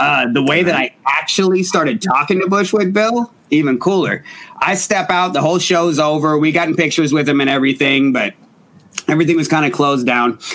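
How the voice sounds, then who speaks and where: A man with an American accent and a plain, everyday voice, fairly high in pitch, at a fairly quick pace with ordinary pitch variation. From Portland, Oregon. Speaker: rapper. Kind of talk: casual chat.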